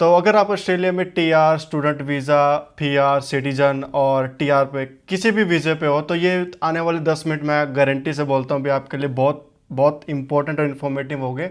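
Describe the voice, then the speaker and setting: A man with a fairly high voice speaks in a fairly even tone, with hardly any pauses. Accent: Haryanvi. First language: Haryanvi (speaking Hindi). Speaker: vlogger. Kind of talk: informational vlog. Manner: halting, many fillers.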